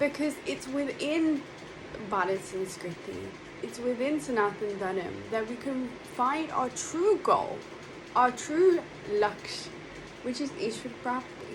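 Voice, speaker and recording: A woman speaks at a high pitch and a very slow pace, with long, frequent pauses. Her pitch swings very widely, and there is noticeable background noise. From London, England. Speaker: monastic spiritual speaker. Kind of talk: spiritual talk. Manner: hesitant with fillers.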